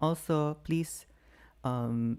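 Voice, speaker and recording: Fairly even intonation marks this man's dark, mellow voice. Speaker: online seller and tutorial creator; online selling tutor. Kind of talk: tutorial. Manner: unscripted, hesitant with fillers. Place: home room. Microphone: studio mic.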